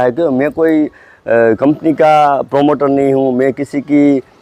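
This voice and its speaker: A man with a Gujarati accent speaks in a dark, mellow tone. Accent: Gujarati-tinged Hindi. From Gujarat, India (Junagadh). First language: Gujarati (speaking Hindi). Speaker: photographer and gadget reviewer. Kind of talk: casual product review. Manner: halting, many fillers.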